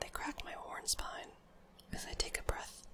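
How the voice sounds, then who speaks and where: A woman whispers at an unhurried, moderate speed, with noticeable noise in the background. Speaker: ASMR creator. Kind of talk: poetry reading.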